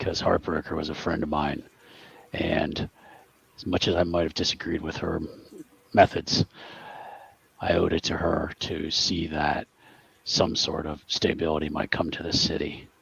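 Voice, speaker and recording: A raspy, put-on character voice in a flat monotone, at a moderate pace with long, frequent pauses. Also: man, very deep, low pitch for a man. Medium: actual play. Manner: terse, businesslike.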